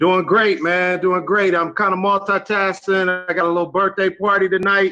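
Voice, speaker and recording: A man's high, bright, sharp voice, raised and projected, monotone and flat, at very even loudness. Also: moderate pace. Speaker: network marketing participant. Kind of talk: live video call testimony.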